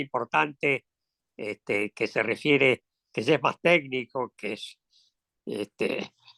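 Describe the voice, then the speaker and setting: A man speaks at a very slow pace with a bright, sharp tone. The sound is dry and close, with no echo. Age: 80s+. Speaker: economist and former congressman. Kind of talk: interview. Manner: halting, many fillers.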